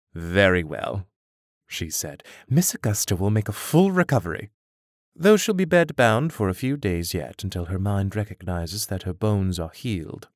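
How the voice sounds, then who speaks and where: A man with a plain, everyday voice at a moderate pace, dry and close with no echo, on a very clean recording with a silent background. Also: fairly low pitch for a man. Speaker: audiobook narrator and fantasy author. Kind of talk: literary audiobook reading, fantasy fiction narrated with character dialogue. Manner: measured narrator, voicing characters in dialogue.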